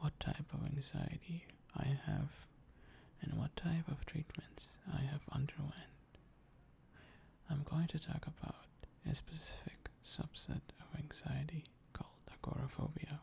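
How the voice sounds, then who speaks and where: A man whispers at a fairly slow pace, with long, frequent pauses. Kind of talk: ASMR talk to camera about personal experience. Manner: soft-spoken.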